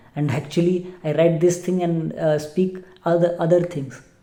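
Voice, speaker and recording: With audible room echo, a woman speaks at a fairly low pitch in a monotone, flat way. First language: not English. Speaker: English learner vlogger. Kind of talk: casual vlog monologue. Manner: halting, many fillers and repeats.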